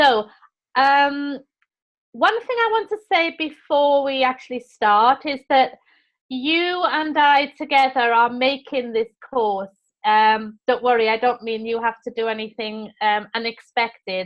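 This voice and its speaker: A Welsh accent at a fairly slow pace with ordinary pitch variation. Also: woman, high pitch for a woman. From Wales. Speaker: teacher trainer. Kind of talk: online course session.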